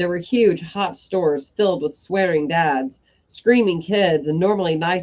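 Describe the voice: Ordinary pitch variation throughout plain reading aloud.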